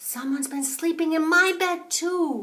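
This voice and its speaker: A woman uses a put-on character voice that is squeaky and extremely high-pitched. Her pace is moderate. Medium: read story.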